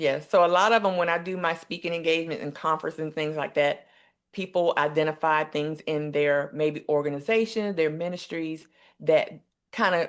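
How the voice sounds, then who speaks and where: A woman with an American accent and a very deep, low pitch, fairly even intonation, quiet background. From US South, eastern North Carolina. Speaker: nurse and empowerment coach. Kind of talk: interview.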